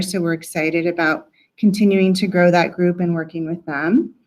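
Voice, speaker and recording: Here a woman speaks with fairly even intonation. The recording is very clean, with a silent background. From Colorado, Johnstown (Weld County). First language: Spanish. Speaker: county outreach and education staff. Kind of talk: public meeting self-introduction. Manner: casual, with frequent um fillers.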